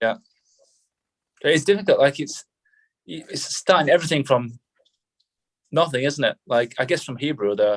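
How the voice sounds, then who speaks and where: With a northern English accent, a man with a fairly high voice talks at a moderate pace and lively intonation, leaving long, frequent pauses, in a dry, close sound with no echo. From northern England. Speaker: army veteran. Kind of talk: casual chat.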